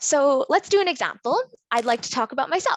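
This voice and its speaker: Over a quiet background, a woman with a Canadian accent speaks with very wide pitch swings in a dry, close sound with no echo. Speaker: engineer and workshop facilitator. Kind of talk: interactive workshop presentation. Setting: virtual conference.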